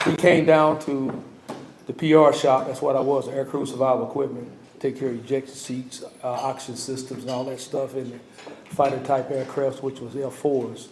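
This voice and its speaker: Over noticeable background noise, a man speaks at a moderate pace and medium pitch with monotone, flat intonation. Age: 70s. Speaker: navy veteran, hall of fame inductee. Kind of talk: acceptance speech. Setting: ceremony with audience. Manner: halting.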